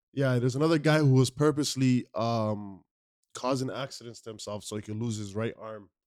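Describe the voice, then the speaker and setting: Big swings in loudness mark a man's animated tone as he talks at a fairly quick pace and a medium pitch with ordinary pitch variation. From Somali background. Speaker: podcast co-host. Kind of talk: casual chat.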